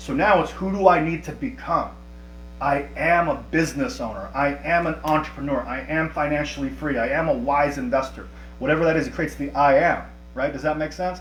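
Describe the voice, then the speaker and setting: A man talking fairly quickly, with music in the background and audible room echo. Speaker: life coach running a workshop. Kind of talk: live online workshop. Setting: livestream with chat. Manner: fast.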